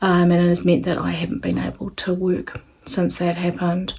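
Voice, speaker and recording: In a New Zealand accent, a woman speaks at a moderate pace. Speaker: sewing channel creator. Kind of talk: casual vlog introduction. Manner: hesitant with fillers.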